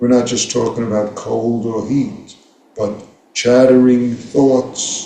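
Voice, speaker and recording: Audible room echo surrounds a man with an American accent who speaks at a medium pitch with fairly even intonation. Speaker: Zen teacher. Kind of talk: dharma talk.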